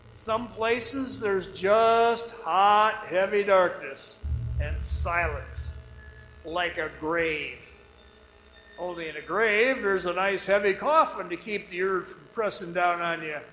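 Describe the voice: In a put-on character voice, a man speaks slowly with a high pitch, ordinary pitch variation and a bright, sharp tone, and room echo is audible.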